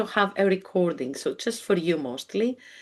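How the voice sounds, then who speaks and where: A woman with a Greek accent talks at a moderate pace over a quiet background. Her medium-pitched voice has lively intonation. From Greece. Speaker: spiritual healer and mentor. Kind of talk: live webinar presentation. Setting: live webinar video call. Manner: halting, with frequent fillers.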